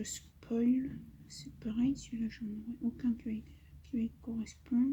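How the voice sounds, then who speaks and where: A woman talks at a very slow pace with a high pitch and a dark, mellow tone. Her intonation stays monotone and flat. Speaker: coloring YouTuber. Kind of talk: casual chat while coloring. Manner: hesitant, many fillers.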